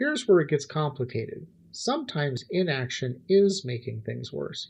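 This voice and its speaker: This man's voice is somewhat breathy and moves at a moderate pace. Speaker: philosophy livestream host. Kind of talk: philosophical monologue on a livestream.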